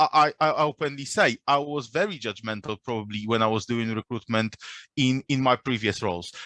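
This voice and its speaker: In a non-native accent, the voice has a bright, sharp tone and ordinary pitch variation, recorded dry and close with no echo. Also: man. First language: not English. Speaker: recruiter. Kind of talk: panel discussion. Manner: halting.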